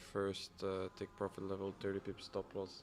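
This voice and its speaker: Man with a fairly low pitch, music playing in the background. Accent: Dutch. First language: Dutch. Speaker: forex and crypto trader streaming live. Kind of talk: live trading stream chat. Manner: thinking aloud, hesitant with fillers.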